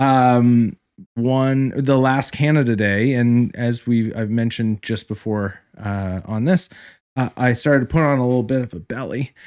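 A man has an ordinary speaking voice, with ordinary pitch variation and a fairly slow pace. The recording is very clean, with a silent background. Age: 30s. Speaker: credit union branch manager. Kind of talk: casual chat.

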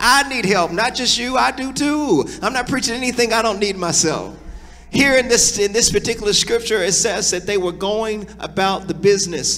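A man speaks in a high voice at a moderate pace. His pitch varies in an ordinary way over noticeable background noise. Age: 40s. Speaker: pastor. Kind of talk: sermon. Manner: animated.

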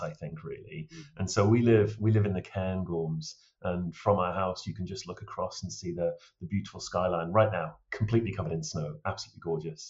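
A man speaks at a very fast pace with a very deep, low pitch. His voice is somewhat breathy, with ordinary pitch variation. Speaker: travel risk consultant. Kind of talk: interview.

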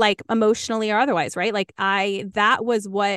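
A woman speaks at a medium pitch with fairly even intonation. The sound is dry and close with no echo, and the background is quiet. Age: 30s. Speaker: former church member, podcast host. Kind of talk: interview conversation.

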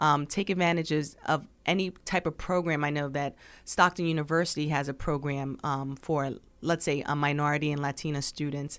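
In a very clean recording with a silent background, the speaker uses an American accent and fairly even intonation. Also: woman, very deep, low pitch for a woman, moderate pace. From New Jersey, Burlington Township. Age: 40s. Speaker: high school counselor. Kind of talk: interview conversation.

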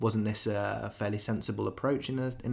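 Speaking at a fairly quick pace, a man with a southern English accent uses a fairly low pitch and ordinary pitch variation. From southern England (Wokingham). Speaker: podcast host. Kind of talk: political discussion podcast. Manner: hesitant, many fillers.

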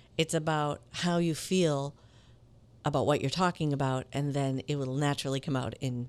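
On a very clean recording with a silent background, a woman speaks at a very deep, low pitch, a moderate pace and fairly even intonation. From Minneapolis, Minnesota, US. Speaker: voiceover actor and acting teacher. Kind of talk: casual interview.

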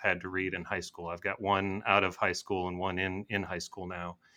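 A bright, sharp tone with an American accent on a very clean recording with a silent background. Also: man. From western Michigan. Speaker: attorney and author. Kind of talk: interview.

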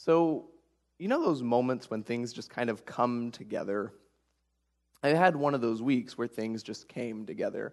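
Here is a man with an American accent and a plain, everyday voice, speaking at a moderate pace. His pitch is medium with ordinary variation, and the background is quiet. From rural Oklahoma (Ada). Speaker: guest preacher. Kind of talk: sermon.

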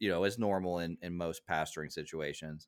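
Over a very clean recording with a silent background, a man speaks at a moderate pace with fairly even intonation. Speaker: podcast host. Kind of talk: casual chat.

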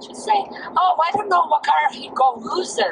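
A woman at a fairly slow pace against noticeable background noise. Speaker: host's mother. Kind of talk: casual chat. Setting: video call.

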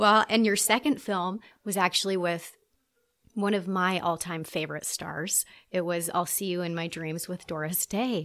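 Heard on a very clean recording with a silent background, a woman speaks in a warm, enthusiastic tone. Her pitch is medium, with ordinary variation, at a moderate pace. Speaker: podcast host interviewer. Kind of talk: interview.

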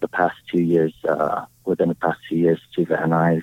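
A man with a Hawaiian accent at a moderate pace. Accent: Hawaiian local English. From Hawaii, Oahu. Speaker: tiki bar owner. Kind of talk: casual chat. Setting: outdoors in a park.

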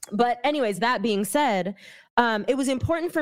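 A woman speaks with lively intonation at a moderate pace. The recording is very clean, with a silent background. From San Francisco Bay Area, California. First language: not English (English is third language). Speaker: activist and educator. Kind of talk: casual chat.

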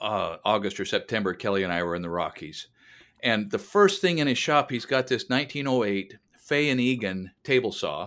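A man's bright, sharp, medium-pitched voice at a fairly quick pace, very wide pitch swings, very clean recording, silent background. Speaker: podcast co-host. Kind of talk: casual chat. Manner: articulate, orator-like.

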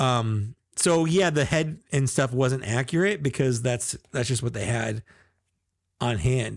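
A man talks at a fairly slow pace in a normal speaking voice. His pitch is medium, with ordinary pitch variation. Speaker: podcast co-host. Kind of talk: casual chat. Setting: video call, live stream. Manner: joking, talkative.

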